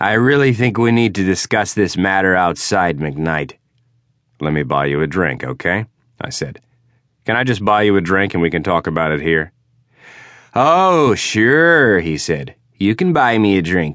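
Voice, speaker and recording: A man's very deep, low voice with very wide pitch swings and long, frequent pauses, against a quiet background. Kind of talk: audiobook narration, first-person hard-boiled detective fiction read aloud.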